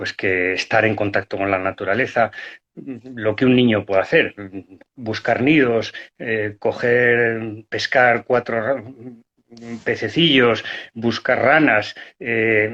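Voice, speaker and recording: A man's bright, sharp voice at medium pitch, very slow in pace, with long, frequent pauses and ordinary pitch variation. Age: 60s. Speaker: hunter and conservationist. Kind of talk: interview. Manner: halting.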